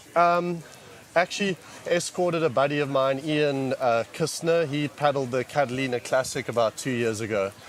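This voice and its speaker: A man with a South African accent and a fairly high pitch. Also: ordinary pitch variation, moderate pace. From South Africa, Cape Town. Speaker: paddleboard race team member. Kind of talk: post-race interview.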